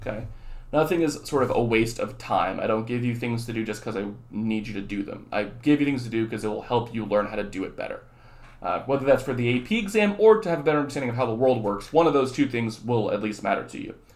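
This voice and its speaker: A man of medium pitch at a very fast pace, with ordinary pitch variation and audible room echo. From southern California and Texas. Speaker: high school economics teacher. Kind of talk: lecture; casual chat. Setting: recorded video for students. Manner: animated.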